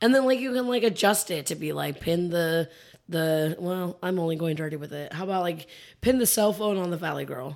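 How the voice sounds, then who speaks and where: A woman with an unremarkable speaking voice and a fairly low pitch talks at a fairly quick pace. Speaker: guest co-host. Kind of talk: casual chat. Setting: studio.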